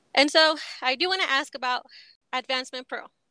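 Bright and sharp in tone, a woman's high-pitched, raised, projected voice carries fairly even intonation, with a dry, close sound and no echo. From Texas. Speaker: podcast host. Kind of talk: casual interview.

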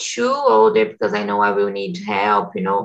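A woman speaks in a Portuguese accent. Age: 20s. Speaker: English teacher and community manager. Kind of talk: casual group conversation practice. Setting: video call.

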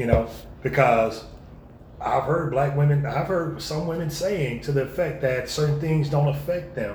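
A somewhat breathy, fairly high male voice at a moderate pace, with ordinary pitch variation and audible room echo. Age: 30s. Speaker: podcast co-host. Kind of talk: casual chat.

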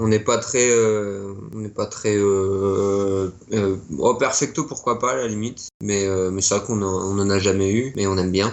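A man's normal speaking voice, fairly low in pitch, at a fairly slow pace with fairly even intonation. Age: 20s. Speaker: punk rock musician. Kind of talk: interview.

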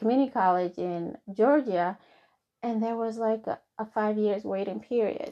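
A woman with a Somali accent and ordinary pitch variation. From Somalia. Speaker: nurse practitioner. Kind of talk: interview. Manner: halting.

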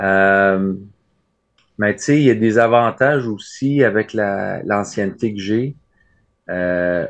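A man with a Quebec accent, fairly low in pitch with fairly even intonation, at a very slow pace against a quiet background. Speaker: letter carrier. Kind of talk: casual interview.

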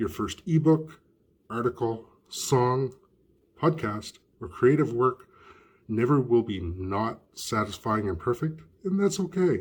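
Using very wide pitch swings around a medium pitch, a man speaks at a fairly slow pace in a somewhat breathy voice. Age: 50s. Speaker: podcast host. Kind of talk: reading aloud.

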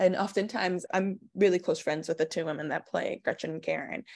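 An American-accented woman talks at a fairly quick pace with vocal fry. Her pitch variation is ordinary, and the background is quiet. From Queens, New York. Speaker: stage actress. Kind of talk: interview.

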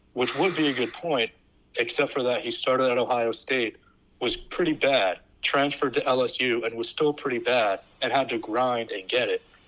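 A man's unremarkable speaking voice at a medium pitch and a moderate pace. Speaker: podcast co-host guest. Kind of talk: casual chat.

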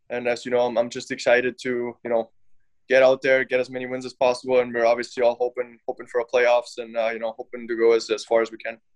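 With a German accent, a man speaks at a very fast pace in a medium pitch and monotone, flat intonation, the sound dry and close with no echo. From Germany. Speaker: professional ice hockey player. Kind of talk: interview. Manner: halting.

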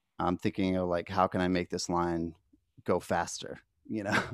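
A man with a very deep, low pitch speaks at a moderate pace, the sound dry and close with no echo on a very clean recording with a silent background. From West Virginia. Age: 30s. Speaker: musician. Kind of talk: interview. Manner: halting.

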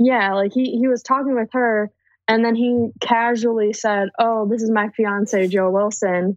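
With an American accent, a woman in a plain, everyday voice speaks at a fairly slow pace with fairly high pitch, fairly even intonation and very even loudness. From US Midwest, Cleveland Ohio. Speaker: guest and patron. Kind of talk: casual chat.

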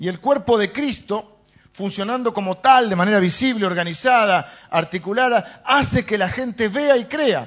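Male voice pitched high, its pitch varying in an ordinary way. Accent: Argentine. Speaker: pastor. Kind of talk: sermon. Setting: church. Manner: halting, with frequent fillers.

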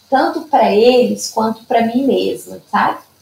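The woman's pitch is fairly high and varies in an ordinary way. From Minas Gerais, Brazil (Zona da Mata). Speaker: Padovan method therapist. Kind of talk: interview.

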